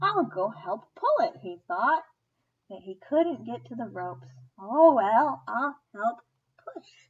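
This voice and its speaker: A woman does a put-on character voice pitched fairly high. She speaks at a fairly slow pace. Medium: read story. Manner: eager, cheerful.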